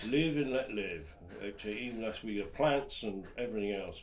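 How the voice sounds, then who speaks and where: With lively intonation and a Wiltshire accent, a man speaks amid audible room echo. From southwest England, Wiltshire. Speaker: podcast co-host. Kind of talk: casual chat. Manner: halting, repetitive.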